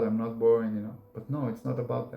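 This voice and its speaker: Speaking at a fairly quick pace, a man uses fairly even intonation and a dark, mellow tone. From Israel. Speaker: YouTuber. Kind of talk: casual monologue. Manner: monotone.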